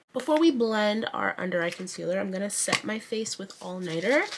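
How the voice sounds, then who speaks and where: A woman talks fairly quickly at a medium pitch, with lively intonation. Her loudness swings a lot, and background noise is noticeable. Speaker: beauty youtuber. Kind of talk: makeup tutorial. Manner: casual and chatty.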